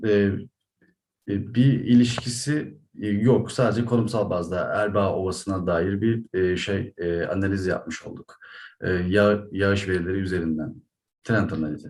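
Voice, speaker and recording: A man with a Turkish accent speaks with a fairly low pitch at a moderate pace, his pitch varying in an ordinary way. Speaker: academic researcher presenter. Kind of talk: conference presentation. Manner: halting, many fillers.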